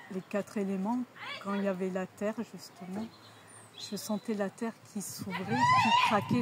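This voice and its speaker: A woman's medium-pitched voice with lively intonation, over noticeable background noise. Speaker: energy healer. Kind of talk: interview. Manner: halting.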